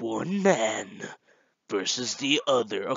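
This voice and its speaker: Putting on a character voice, a man speaks at a medium pitch. His pitch swings very widely. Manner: dramatic, announcer-like.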